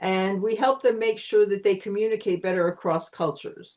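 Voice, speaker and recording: Against a quiet background, a woman with a Pennsylvania accent talks at a fairly quick pace. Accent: American (Pennsylvania). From Pennsylvania, US. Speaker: communication consultant. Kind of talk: interview.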